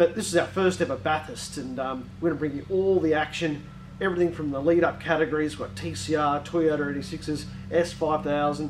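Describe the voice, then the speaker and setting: A man with ordinary pitch variation over light background noise. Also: moderate pace. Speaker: channel host. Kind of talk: casual vlog chat. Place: garage.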